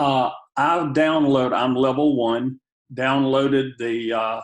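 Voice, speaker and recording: In a Southern US accent, a man with a fairly high pitch talks at a very slow pace with fairly even intonation. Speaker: participant asking questions. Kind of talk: Q&A question.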